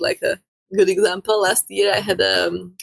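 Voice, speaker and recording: A woman speaks at a moderate pace with a Slovak accent. The sound is dry and close, with no echo. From Slovakia. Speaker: photographer. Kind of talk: casual chat. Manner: halting, with frequent repetitions and fillers.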